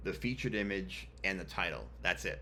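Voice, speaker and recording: A man speaks with a very deep, low pitch, very wide pitch swings and vocal fry. His tone is bright and sharp, and the room echo is audible. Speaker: web developer tutorial host. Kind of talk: screen-share coding tutorial. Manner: casual, many filler ums.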